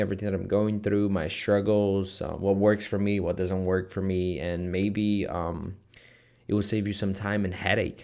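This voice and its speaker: The speaker has a slight Brazilian accent. The pace is fairly slow. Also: man. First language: Portuguese. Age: 20s. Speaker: online entrepreneur vlogger. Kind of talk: casual vlog talk to camera. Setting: office. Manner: hesitant, many fillers.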